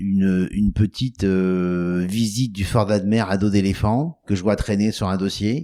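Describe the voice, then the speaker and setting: In a very clean recording with a silent background, a man speaks very slowly in a dark, mellow tone, at a fairly low pitch with fairly even intonation. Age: 60s. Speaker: travel company founder. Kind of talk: interview. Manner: stuttering repetitions when emphatic.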